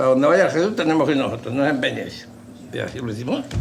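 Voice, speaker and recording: A man's fairly high voice at a very fast pace, with audible room echo and noticeable background noise. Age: 70s. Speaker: veteran brotherhood member. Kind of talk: interview.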